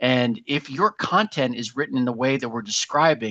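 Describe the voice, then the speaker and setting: This man speaks in a Boston accent at a medium pitch with ordinary pitch variation. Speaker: marketing agency webinar host. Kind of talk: live webinar presentation. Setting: live webinar. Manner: fast.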